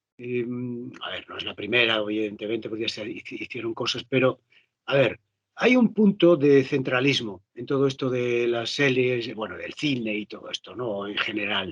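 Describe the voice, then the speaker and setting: A man of medium pitch talks at a moderate pace with a slight Galician accent. His loudness swings widely. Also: ordinary pitch variation. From Galicia, rural interior. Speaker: actor and voice dubber. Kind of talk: interview conversation. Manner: animated.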